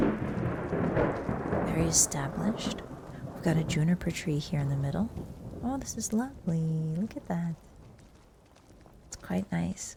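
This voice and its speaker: Soft-spoken and relaxed in tone, a woman talks at a fairly slow pace in a very deep, low pitch with lively intonation and long, frequent pauses over noticeable background noise. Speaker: VTuber who streams games and makes ASMR videos. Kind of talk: ASMR game tour with lore commentary. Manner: soft-spoken, relaxed, cozy.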